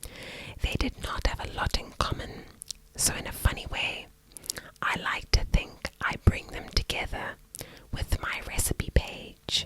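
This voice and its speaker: A woman whispering at a fairly slow pace, with big swings in loudness over noticeable background noise. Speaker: ASMR creator. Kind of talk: ASMR whispered reading to help sleep. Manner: whispered, soft, slow.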